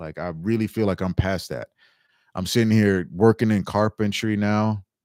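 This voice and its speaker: A man speaks in a passionate tone with a New York accent. His fairly low voice moves at a moderate pace. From New York City (Staten Island, Bronx). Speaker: livestreamer, mushroom grower. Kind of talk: casual livestream chat. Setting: livestream. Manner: loud.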